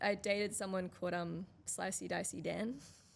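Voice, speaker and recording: In an Australian accent, a woman speaks with fairly even intonation. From Australia, Western Sydney. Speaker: musician. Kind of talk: podcast interview. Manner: halting.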